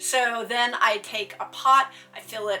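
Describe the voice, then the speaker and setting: Music in the background behind a woman with an American accent. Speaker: witchcraft content creator. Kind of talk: tutorial.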